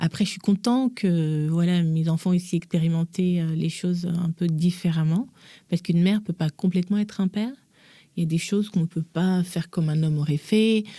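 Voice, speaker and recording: Somewhat breathy and dark and mellow in tone, a woman with a fairly low pitch speaks at a fairly quick pace, on a very clean recording with a silent background and a dry, close sound with no echo. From Gabon. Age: 40s. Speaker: mother and author. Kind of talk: podcast interview. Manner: animated.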